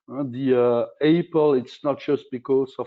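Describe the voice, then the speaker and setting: A man's voice at a medium pitch. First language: not English. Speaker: corporate sustainability executive. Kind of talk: panel discussion. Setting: virtual conference. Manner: halting.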